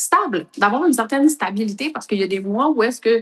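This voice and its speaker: Speaking at a fairly quick pace, a woman with a Quebec accent uses lively intonation. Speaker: entrepreneur, coaching client. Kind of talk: testimony.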